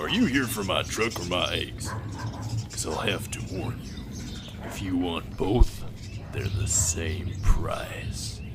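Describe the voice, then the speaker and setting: Over loud background noise, a man uses a put-on character voice, very deep and low in pitch, and speaks at a fairly slow pace. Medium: audio drama. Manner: deadpan, brooding.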